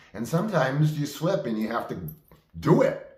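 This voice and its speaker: Audible room echo surrounds a man whose high voice carries lively intonation. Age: 60s. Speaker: actor and video diarist. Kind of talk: personal monologue. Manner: animated.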